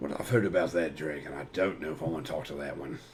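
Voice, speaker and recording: Putting on a raspy character voice, a man speaks at a very fast pace in a very deep, low pitch with big swings in loudness, over clear background noise. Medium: actual play. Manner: reserved, guarded.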